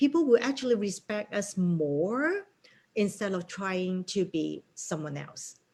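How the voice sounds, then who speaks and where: With a Cantonese accent, a woman speaks very slowly at a medium pitch, her dark, mellow tone carried by lively intonation. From Hong Kong. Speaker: real estate broker and association president. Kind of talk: interview.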